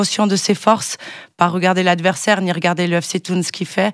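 At a moderate pace, a woman speaks in a dry sound with no echo against a quiet background. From Switzerland. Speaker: football pundit. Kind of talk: sports analysis interview. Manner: hesitant, many fillers. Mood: calm, analytical. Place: studio. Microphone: studio mic.

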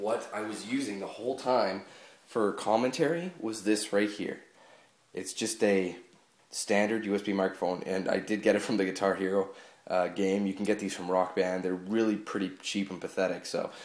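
A man's fairly low voice at a moderate pace, fairly even in intonation, with audible room echo. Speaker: gaming channel host. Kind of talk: casual unboxing chat. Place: home room.

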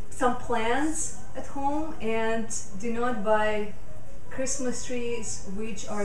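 With audible room echo and light background noise, a woman speaks in a high pitch. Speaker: yoga teacher. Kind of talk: casual talk during yoga class. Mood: warm, earnest about nature. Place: home room.

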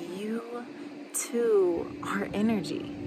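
Noticeable background noise under a woman's voice. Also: dry sound with no echo. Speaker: meditation guide. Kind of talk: guided meditation. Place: waterside. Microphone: phone near.

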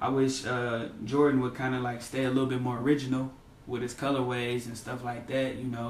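A man with a medium pitch speaks at a moderate pace. Light background noise and audible room echo are present. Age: 20s. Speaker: sneaker collector. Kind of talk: casual interview. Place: home room. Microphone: camera far.

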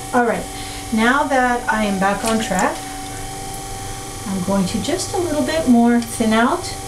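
A woman talks fairly slowly, with noticeable noise in the background. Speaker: pottery teacher. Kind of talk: tutorial. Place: workshop.

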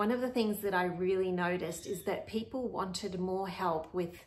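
Moderate-paced speech from a woman. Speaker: podcast host. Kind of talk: casual podcast intro to camera. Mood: warm and friendly. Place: kitchen. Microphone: phone near.

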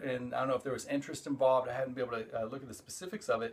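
Fairly even intonation from a male speaker. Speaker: show host. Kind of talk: casual vlog chat. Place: home room. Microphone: phone near.

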